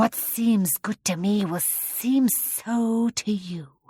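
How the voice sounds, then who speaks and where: Using a put-on character voice, a soft-spoken woman at medium pitch talks at a very slow pace with a hissing sound, recorded dry and close with no echo. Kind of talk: children's audiobook character voice. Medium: read story. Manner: slow, gracious, quietly commanding.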